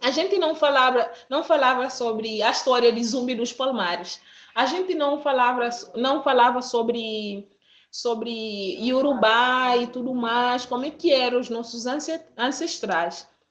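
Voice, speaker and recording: The woman's pitch is high, with ordinary variation. She speaks at a fairly slow pace. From Guinea-Bissau. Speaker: student and model. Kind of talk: interview.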